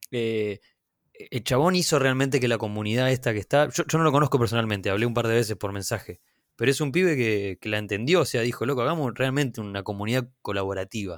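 A man speaks at a very fast pace with a Rioplatense accent, his medium pitch showing ordinary variation. The recording is very clean, with a silent background. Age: 30s. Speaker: comedian and content creator. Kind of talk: casual chat.

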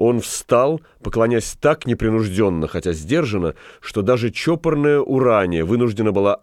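The reading voice is natural, and the intonation moves in a lively way.

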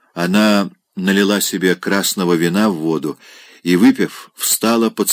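Over a quiet background comes plain reading aloud, its pitch variation ordinary.

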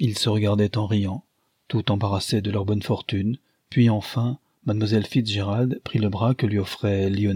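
The speaker does plain reading aloud with fairly even intonation against a quiet background.

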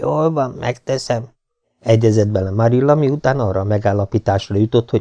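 There is a natural reading voice. The background is quiet.

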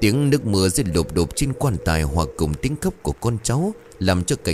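This is a natural reading voice. The text is read in that natural way.

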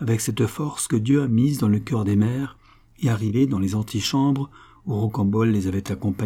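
The speaker is reading aloud in a natural voice. The pitch shows ordinary variation.

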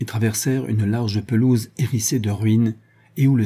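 Plain reading aloud, its intonation fairly even throughout.

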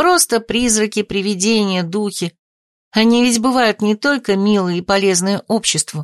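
The delivery is an unforced reading voice. The background is quiet.

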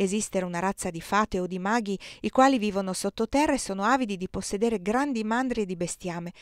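Ordinary pitch variation in plain reading aloud

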